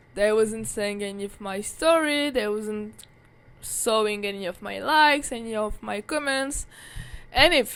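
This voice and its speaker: A woman with a French accent speaks at a fairly slow pace in a fairly high voice. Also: ordinary pitch variation, big swings in loudness. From France, Paris. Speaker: vlogger. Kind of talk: casual monologue. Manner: filler-heavy, halting.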